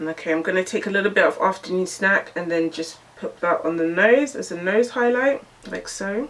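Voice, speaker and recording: The speaker has a British accent and talks at a fairly quick pace with hardly any pauses and ordinary pitch variation. Noticeable background noise is present. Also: woman, medium pitch for a woman. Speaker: beauty YouTuber. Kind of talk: makeup tutorial and review. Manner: animated.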